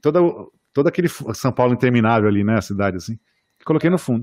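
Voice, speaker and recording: A man's medium-pitched voice at a very fast pace, dry and close with no echo, over a quiet background. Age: 40s. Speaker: architect and podcast host. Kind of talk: casual chat. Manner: halting.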